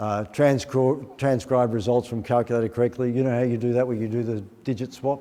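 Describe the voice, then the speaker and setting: This is a man speaking at a medium pitch. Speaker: maths educator presenting a workshop. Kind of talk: teacher workshop presentation. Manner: fast, rushed.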